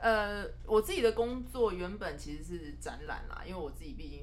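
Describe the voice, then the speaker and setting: Noticeable background noise and audible room echo surround a woman who talks at a moderate pace. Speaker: co-producer, exhibition organiser and publisher. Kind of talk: casual chat. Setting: small office. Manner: serious.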